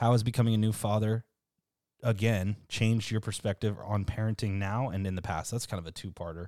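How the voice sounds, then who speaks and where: Heard against a very clean, silent background, this man has a dark, mellow tone. His pitch is fairly low, with fairly even intonation. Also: fairly quick pace. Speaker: podcast host. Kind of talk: casual chat. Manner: casual, joking, profane.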